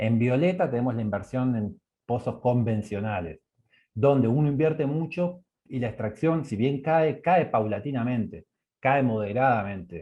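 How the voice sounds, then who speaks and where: A man at a medium pitch, with lively intonation and a fairly slow pace. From Argentina. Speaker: energy economics researcher. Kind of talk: online course presentation. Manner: halting, with many fillers.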